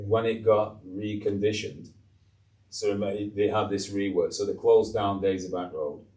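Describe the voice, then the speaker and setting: In a Lancashire accent, the speaker goes at a moderate pace, with audible room echo around the voice. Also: man. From northern England, Blackburn, Lancashire. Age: 60s. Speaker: retired teacher. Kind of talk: podcast interview. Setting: studio.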